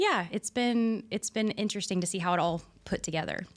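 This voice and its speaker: In a very clean recording with a silent background, a woman speaks in a Texan accent with fairly even intonation. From US South, rural Texas. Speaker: auto garage owner. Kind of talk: casual interview.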